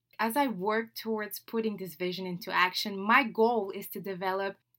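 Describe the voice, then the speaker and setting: A woman speaks at a moderate pace in a French accent. Her pitch is fairly high and her tone bright and sharp. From Senegal (Dakar). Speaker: podcast host, digital marketing trainer. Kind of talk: solo podcast introduction monologue. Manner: animated, with laughs.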